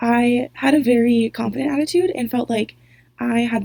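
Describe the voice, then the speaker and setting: A woman's somewhat breathy voice has a dark, mellow tone. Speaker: student. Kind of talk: reflective monologue.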